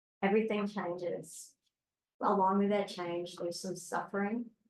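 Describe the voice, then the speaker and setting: A quiet woman at a moderate pace. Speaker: meditation teacher. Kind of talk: dharma talk. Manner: halting.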